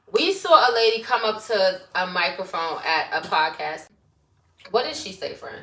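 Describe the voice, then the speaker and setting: Speaking at a moderate pace in a Brooklyn accent, a woman with a fairly high pitch and a bright, sharp tone shows very wide pitch swings and big swings in loudness. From Brooklyn, New York. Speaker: podcast co-host. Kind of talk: casual chat.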